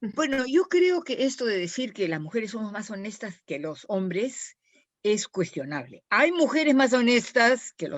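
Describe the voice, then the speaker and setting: At a fairly slow pace, a woman talks with very wide swings in pitch. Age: 70s. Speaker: scholar panelist. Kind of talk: virtual panel talk. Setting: video call. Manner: halting, many restarts.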